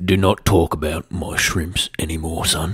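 A man's put-on character voice, very deep and low in pitch, with a stern tone. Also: moderate pace. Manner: gruff, stern.

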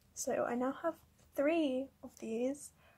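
A quiet, high-pitched woman's voice over noticeable background noise. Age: young. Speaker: kpop photocard collector. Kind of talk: casual talk to camera. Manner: quiet, subdued. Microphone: phone near.

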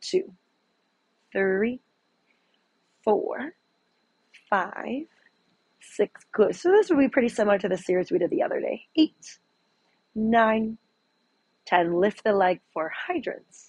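A woman with a fairly high pitch talks very slowly in a calm, somewhat breathy voice, her pitch swinging very widely. Long, frequent pauses break up her speech, and the sound is dry with no echo against a quiet background. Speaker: fitness instructor. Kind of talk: guided exercise class, leading a Pilates workout with cues. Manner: calm, instructional, encouraging; rhythmic counting, paced to the movement. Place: home room.

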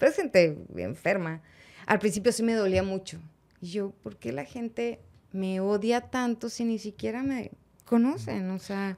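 A woman speaks at a fairly slow pace with lively intonation. Her loudness swings widely. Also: medium pitch for a woman. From Mexico, Monterrey; Nuevo León, Mexico. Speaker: sports journalist. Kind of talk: interview. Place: studio. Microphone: studio mic.

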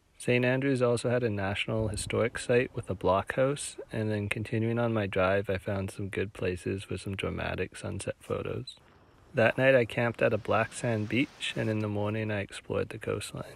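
A man's fairly low, ordinary speaking voice at a moderate pace, with fairly even intonation and a dry sound with no echo. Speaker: travel vlogger narrator. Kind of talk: travel vlog narration.

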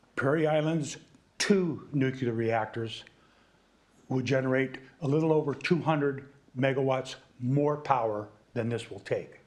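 With audible room echo, a man speaks at medium pitch and a fairly slow pace, with ordinary pitch variation and long, frequent pauses. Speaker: resident speaking at public comment. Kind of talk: public comment at council meeting. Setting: city council meeting. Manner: voice rises when excited.

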